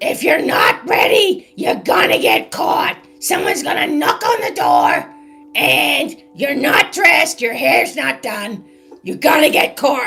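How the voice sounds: Over faint background music, a put-on character voice speaks at a fairly slow pace and a high pitch.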